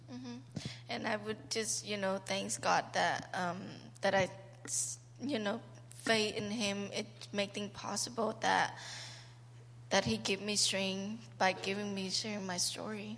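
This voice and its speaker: A woman with a Cambodian accent speaks at a fairly slow pace and medium pitch, with very wide pitch swings, vocal fry, and long, frequent pauses. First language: Khmer. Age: 20s. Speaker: trafficking survivor. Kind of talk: testimony. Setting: church. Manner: halting.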